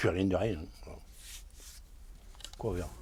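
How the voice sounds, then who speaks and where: A man's dark, mellow voice in a southern French accent, with vocal fry and lively intonation. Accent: Cévennes, southern French rural. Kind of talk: interview answer. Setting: outdoors. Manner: hard to understand at times.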